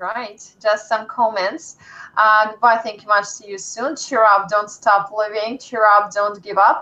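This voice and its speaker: A woman with a Russian accent speaks at a fairly slow pace in a fairly high, bright, sharp voice. Her intonation stays fairly even while her loudness swings widely. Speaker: English teacher. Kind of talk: live stream.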